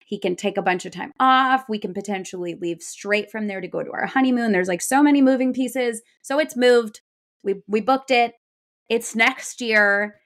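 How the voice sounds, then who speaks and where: On a very clean recording with a silent background, a woman sounds animated, her fairly high voice showing ordinary pitch variation. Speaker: podcast co-host. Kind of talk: casual chat. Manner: loud, projecting.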